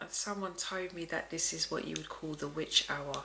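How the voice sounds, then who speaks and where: Soft-spoken delivery at a moderate pace comes through over noticeable background noise. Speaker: tarot reader. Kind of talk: tarot reading. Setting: at home late at night.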